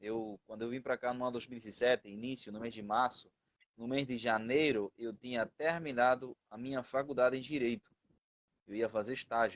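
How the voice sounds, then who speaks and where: Captured with a dry, close sound and no echo, a man talks at a moderate pace in a medium pitch, with big swings in loudness. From Venezuela. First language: Spanish (speaking Portuguese). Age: 20s. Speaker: missionary. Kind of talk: testimony. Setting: live stream.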